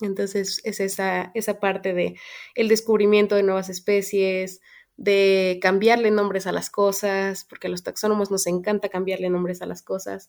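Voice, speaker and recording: A woman's medium-pitched voice in a monotone, flat intonation. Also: moderate pace. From Mexico, Querétaro. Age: 20s. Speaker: biologist. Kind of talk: interview.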